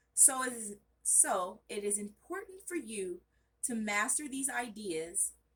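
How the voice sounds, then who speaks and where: A woman's loud voice at a very slow pace. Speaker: study channel vlogger. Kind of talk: reading aloud study notes. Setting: bedroom at home, off camera. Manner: casual, self-correcting.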